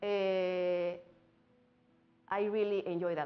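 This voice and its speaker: A woman speaks with a strong Mexican accent. Her pitch is medium. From Mexico. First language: Spanish. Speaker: singer and music teacher, immigrant. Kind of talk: interview. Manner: halting, with fillers.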